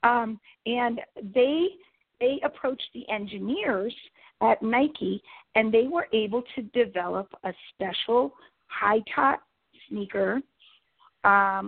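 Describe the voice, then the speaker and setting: Fairly high woman's voice with ordinary pitch variation, big swings in loudness and long, frequent pauses, music in the background. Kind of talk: interview. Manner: halting.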